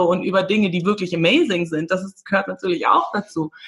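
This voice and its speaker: A woman with a medium pitch talks at a very fast pace over noticeable background noise. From Namibia (Windhoek, German-Namibian community). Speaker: former film actress, personal development coach. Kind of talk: casual interview chat.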